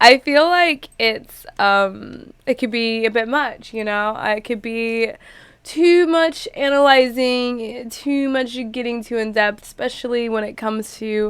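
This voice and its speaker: Talking at a very slow pace, a woman uses a high voice with ordinary pitch variation. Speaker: reaction youtuber. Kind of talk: casual reaction commentary. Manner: animated.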